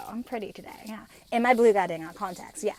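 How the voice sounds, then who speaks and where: The delivery is animated and fairly quick. The speaker has an American accent. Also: woman. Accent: slight New Jersey accent at times. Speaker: podcast host. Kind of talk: casual monologue. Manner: fast.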